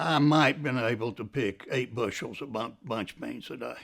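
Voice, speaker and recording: An Appalachian accent on a very clean recording with a silent background. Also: man. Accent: Appalachian Southern US. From Ashe County, North Carolina. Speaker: former farm worker. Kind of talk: documentary interview answer. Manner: casual, reminiscing.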